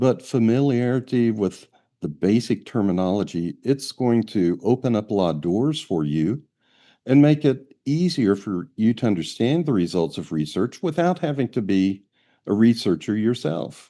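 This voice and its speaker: A man with a medium pitch and a dark, mellow tone speaks at a moderate pace, his pitch swinging very widely. The background is quiet. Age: 70s. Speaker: astrology researcher. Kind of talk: interview.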